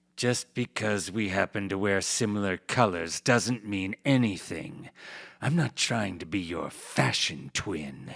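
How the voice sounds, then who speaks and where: A man in a put-on character voice delivers a deadpan tone at a fairly low pitch and fairly slow pace. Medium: virtual streamer. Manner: terse, cold, deadpan.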